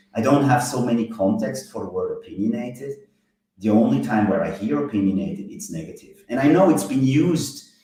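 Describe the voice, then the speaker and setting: A man speaks at a medium pitch with a non-native accent, his pitch swinging very widely. His pace is fairly quick, and the room echo is audible. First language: not English. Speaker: software app designer. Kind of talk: casual interview chat.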